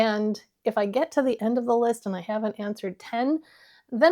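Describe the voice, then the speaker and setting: The recording is very clean, with a silent background. A woman with a fairly high pitch and a dark, mellow tone speaks at a fairly quick pace. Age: 60s. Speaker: beauty YouTuber. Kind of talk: casual talk to camera.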